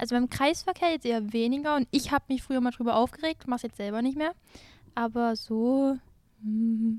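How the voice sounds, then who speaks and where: Her pitch high for a woman and its variation ordinary, she speaks at a moderate pace in a dry, close recording with no echo. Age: young. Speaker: former driving student. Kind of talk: casual chat.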